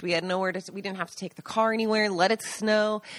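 A woman with an American accent speaks at medium pitch with fairly even intonation in an ordinary speaking voice, on a very clean recording with a silent background and a dry, close sound with no echo. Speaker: podcast co-host, agriturismo owner. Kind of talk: casual chat.

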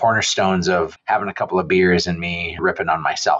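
A man's very deep, low voice, monotone and flat, at a moderate pace. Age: 40s. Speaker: real estate entrepreneur and advocate. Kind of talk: interview conversation. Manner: loud.

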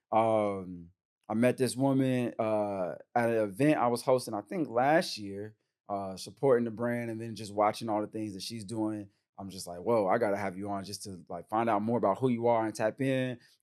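On a very clean recording with a silent background, a man talks in a normal speaking voice at a moderate pace with a fairly low pitch. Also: big swings in loudness. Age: 30s. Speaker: podcast host and men's retreat facilitator. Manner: casual, slangy and upbeat.

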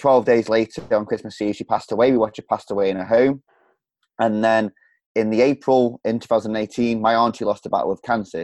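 A man in a Staffordshire accent at a medium pitch, fairly quick and monotone with flat intonation, dry and close with no echo against a quiet background. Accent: Stoke-on-Trent English, drops h's. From central England, Stoke-on-Trent. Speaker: podcaster and coach. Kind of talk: casual interview.

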